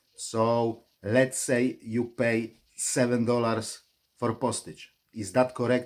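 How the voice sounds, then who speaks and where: A man speaks at a fairly slow pace with a Polish accent. His intonation is monotone and flat. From Poland. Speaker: online reseller vlogger. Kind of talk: vlog commentary.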